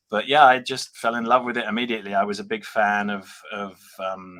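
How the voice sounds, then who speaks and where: A bright, sharp tone in a British accent. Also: man. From UK. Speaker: toy and prop replica company representative. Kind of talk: casual interview.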